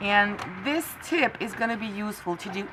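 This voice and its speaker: In a French accent, a woman speaks with a bright, sharp tone at medium pitch and ordinary pitch variation. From France. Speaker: crafting tutorial creator. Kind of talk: tutorial. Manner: halting, with frequent fillers.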